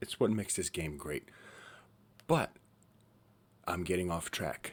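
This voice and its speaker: A man speaks quietly at a very deep, low pitch with ordinary pitch variation. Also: fairly slow pace. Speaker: gaming YouTuber. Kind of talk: gameplay commentary. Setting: at home. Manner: quiet, hushed.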